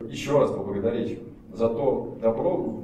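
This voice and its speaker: Audible room echo colors a man's speech. Behind him is light background noise. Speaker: regional governor. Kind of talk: formal speech at award ceremony. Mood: grateful, warm. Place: hall.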